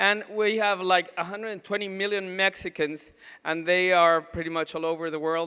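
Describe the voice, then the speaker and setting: At a moderate pace, a man speaks in a bright, sharp tone with fairly even intonation. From Mexico. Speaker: pediatric nutrition doctor. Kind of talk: conference talk. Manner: halting, many fillers.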